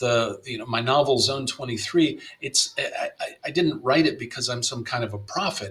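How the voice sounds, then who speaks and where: Noticeable background noise sits under the recording. The man talks at a moderate pace. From US South, Miami, Florida. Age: 60s. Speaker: playwright and novelist. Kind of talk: interview conversation. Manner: halting, many fillers and repetitions.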